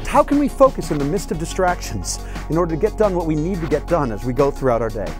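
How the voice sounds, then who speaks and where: A man's upbeat tone at a very fast pace, dry with no echo, clear music in the background. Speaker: professional speaker, comedian and juggler. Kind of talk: motivational keynote stage talk to an audience. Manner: engaging, upbeat.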